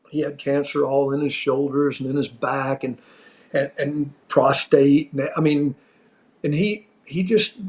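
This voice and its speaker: Here is a man with an unremarkable speaking voice and an American accent. His pitch is fairly high, his intonation fairly even, and his pace fairly slow. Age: 60s. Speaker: former pro wrestling referee. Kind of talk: casual chat.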